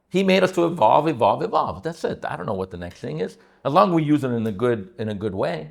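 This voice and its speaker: Talking at a very fast pace, a man with a medium pitch uses very wide pitch swings and vocal fry. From Italy (Sicily). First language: Italian. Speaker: real estate agent, podcast host. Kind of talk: casual chat. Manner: animated.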